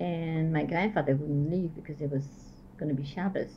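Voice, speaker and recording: A woman speaks fairly slowly in a very deep, low, somewhat breathy voice with a dark, mellow tone and fairly even intonation, over light background noise. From Belgium, Liège; Belgium. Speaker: Holocaust survivor and resistance veteran. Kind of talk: oral history interview. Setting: at her home. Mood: reflective, somber. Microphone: old recording.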